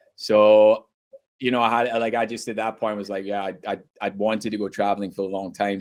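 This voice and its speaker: In a Scottish accent, a man with a fairly low pitch talks at a moderate pace with monotone, flat intonation. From Scotland. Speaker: university international recruitment head. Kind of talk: podcast interview. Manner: casual, filler-heavy.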